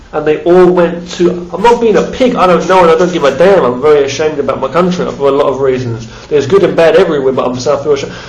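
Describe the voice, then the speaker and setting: A man with an English accent and a fairly high pitch, talking very fast with hardly any pauses and ordinary pitch variation, amid noticeable background noise and audible room echo. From England, London. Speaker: vlogger. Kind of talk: casual monologue vlog. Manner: rambling, halting with repetitions. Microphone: phone recording.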